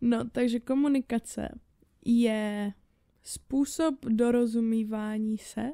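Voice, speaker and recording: Very slowly and with long, frequent pauses, a woman speaks in a fairly high-pitched, dark, mellow voice with fairly even intonation, in a dry, close recording with no echo. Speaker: podcast co-host. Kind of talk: casual chat. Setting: home studio.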